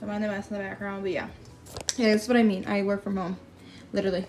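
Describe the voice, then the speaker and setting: A woman speaks at a medium pitch. There is music in the background. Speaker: crafting YouTuber. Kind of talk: tutorial. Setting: home workspace. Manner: fast; casual, filler-heavy.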